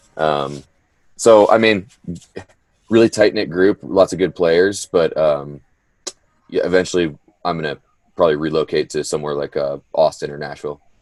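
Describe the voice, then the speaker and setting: A man talks at a moderate pace with long, frequent pauses, and the sound is dry and close with no echo. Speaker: country singer. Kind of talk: interview.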